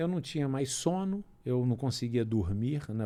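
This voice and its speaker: A man's medium-pitched, dark and mellow voice with lively intonation at a moderate pace. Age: 60s. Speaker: doctor and cancer survivor. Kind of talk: interview.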